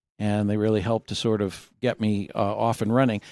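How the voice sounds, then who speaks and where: A man speaks at a moderate pace with an American accent and a dark, mellow tone. The recording is very clean, with a silent background. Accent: Massachusetts accent, comes out when tired. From Massachusetts, northeast of Boston. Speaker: university faculty member. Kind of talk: interview conversation.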